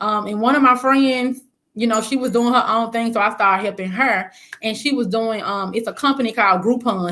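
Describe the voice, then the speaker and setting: A woman with a Southern accent, fairly high in pitch, with ordinary pitch variation and a fairly quick pace. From US South, Memphis. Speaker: spa business owner. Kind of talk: interview.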